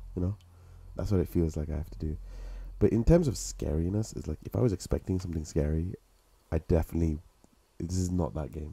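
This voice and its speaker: A man talks very fast in a very deep, low voice with a dark, mellow, somewhat breathy tone. His pitch varies in an ordinary way, and he leaves long, frequent pauses. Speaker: gaming streamer. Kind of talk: live-streamed gameplay, casual chat. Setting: live stream, playing on PS5. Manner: jokey, self-deprecating, chatty.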